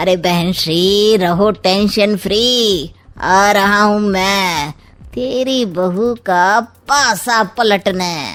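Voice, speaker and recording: Doing a cartoonish character voice, a woman speaks very slowly at a medium pitch, with ordinary pitch variation and very even loudness. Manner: sly, sarcastic.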